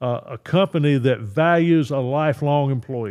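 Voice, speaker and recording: A man with a North Carolina accent speaks at a moderate pace. His voice is fairly high, with ordinary pitch variation. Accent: US Southern (North Carolina). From North Carolina, Richmond County. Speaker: state senator. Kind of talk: interview. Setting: studio. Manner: halting.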